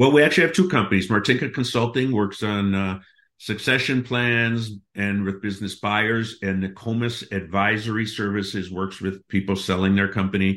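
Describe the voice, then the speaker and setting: Speaking with an American accent, a man with an ordinary speaking voice keeps a fairly low pitch and fairly even intonation. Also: moderate pace, very clean recording, silent background. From US Midwest, Milwaukee, Wisconsin. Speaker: business acquisition consultant. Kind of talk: interview.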